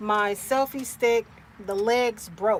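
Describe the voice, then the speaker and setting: A woman with a high pitch. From US Midwest, Cincinnati, Ohio. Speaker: vanlife content creator, livestreamer. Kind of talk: casual livestream chat. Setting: inside a van, sunny. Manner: animated.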